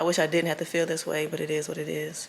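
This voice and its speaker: Noticeable background noise sits behind this recording. A woman with a fairly low pitch speaks with fairly even intonation. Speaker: vlogger. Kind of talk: casual vlog talk to camera.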